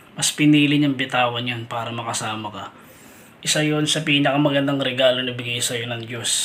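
A man talks at a fairly quick pace with a medium pitch and fairly even intonation. Noticeable background noise sits behind him. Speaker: showbiz gossip vlogger. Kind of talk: commentary monologue.

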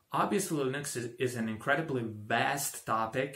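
A man with a Croatian accent speaks against a quiet background, with audible room echo. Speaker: tech tutorial creator; tutorial creator. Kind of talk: tutorial; tutorial introduction. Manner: halting, with fillers. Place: home room.

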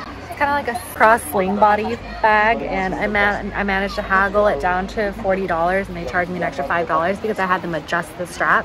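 Clear music plays behind a woman speaking at a moderate pace, the sound dry with no echo. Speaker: travel vlogger. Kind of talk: casual vlog chat. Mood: relaxed, happy. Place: cafe. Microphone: phone near.

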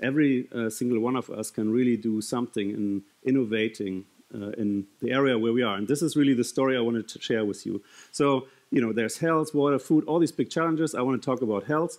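A man talks at a very fast pace over a quiet background. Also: ordinary pitch variation. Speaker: conference speaker. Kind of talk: keynote talk. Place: stage. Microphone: headset.

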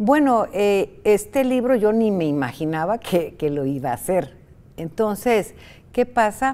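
A woman speaks at a fairly slow pace with a dark, mellow tone. Her pitch swings very widely. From Costa Rica. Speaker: writer; interviewee. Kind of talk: interview. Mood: warm, animated storytelling. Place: studio. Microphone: lapel.

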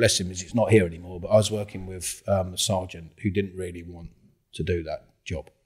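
A man's very deep, low voice, somewhat breathy and dark, mellow in tone, at a moderate pace with a quiet background. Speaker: podcast guest. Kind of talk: interview answer. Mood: amused, anecdotal storytelling. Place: home room. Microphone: studio mic.

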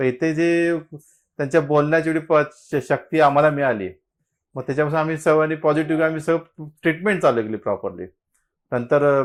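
Over a very clean recording with a silent background, a man uses an unremarkable speaking voice, pitched fairly high, with ordinary pitch variation. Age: 50s. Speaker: fertility patient. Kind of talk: testimony.

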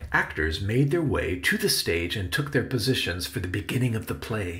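Using a bright, sharp tone with vocal fry, a man at medium pitch makes very wide pitch swings. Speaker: author and audiobook narrator. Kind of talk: children's audiobook narration.

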